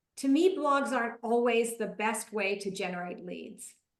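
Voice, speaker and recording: A woman speaks in a normal speaking voice with a fairly high pitch. Her pace is moderate and her pitch varies in an ordinary way. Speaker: marketing consultant and presenter. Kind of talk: webinar presentation; Q&A answer.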